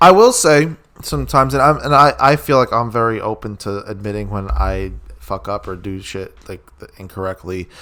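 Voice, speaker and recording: A man talks at a moderate pace in a fairly low pitch with a bright, sharp tone. His intonation is lively and his loudness swings widely. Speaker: podcast co-host. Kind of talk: casual chat.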